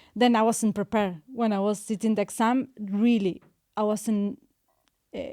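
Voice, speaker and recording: With a Spanish accent, a woman speaks in a dark, mellow tone at a fairly high pitch, her intonation fairly even and her long pauses frequent, on a very clean recording with a silent background. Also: moderate pace. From Argentina. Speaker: overseas dentist. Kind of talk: interview chat. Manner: halting.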